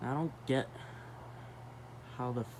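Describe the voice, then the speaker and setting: A man's voice has a dark, mellow tone. Room echo can be heard. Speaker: ceiling fan YouTuber. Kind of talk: casual vlog. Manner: slightly stuttering.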